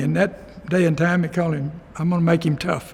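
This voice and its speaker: This man talks at a fairly quick clip, his pitch high for a man. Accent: Texan. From Texas, rural Denton County. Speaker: local resident telling his life story. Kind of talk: oral history interview. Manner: halting, many fillers.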